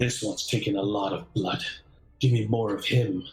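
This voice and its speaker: Someone does a put-on character voice with a raspy edge at a moderate pace. Faint music plays in the background. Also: man, fairly low pitch for a man. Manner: hungry, menacing.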